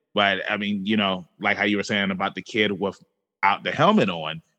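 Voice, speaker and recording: This is a normal speaking voice. It keeps a moderate speed. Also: man. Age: 30s. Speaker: podcast host. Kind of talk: interview.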